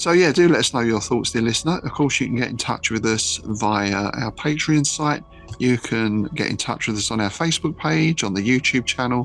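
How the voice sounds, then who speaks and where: A man with a medium-pitched voice and ordinary pitch variation talks with hardly any pauses over music in the background. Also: moderate pace. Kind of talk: podcast sign-off.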